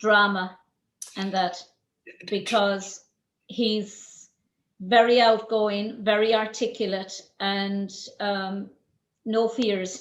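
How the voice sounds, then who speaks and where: In an Irish accent, a woman speaks very slowly at a medium pitch in a flat, monotone way, with long, frequent pauses. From Ireland. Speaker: podcast host. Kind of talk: interview conversation.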